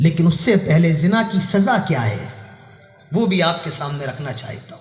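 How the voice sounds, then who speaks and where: A man speaks in a high pitch with lively intonation and big swings in loudness. Audible room echo and noticeable background noise fill the recording. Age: 20s. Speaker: Islamic preacher. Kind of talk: sermon. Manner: animated.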